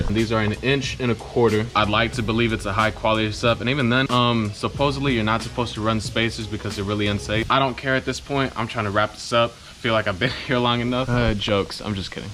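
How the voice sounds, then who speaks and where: A man talks at a very fast pace with music in the background. His pitch sits in the medium range. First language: Spanish. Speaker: car enthusiast YouTuber. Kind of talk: DIY tutorial. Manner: casual, hesitant with fillers.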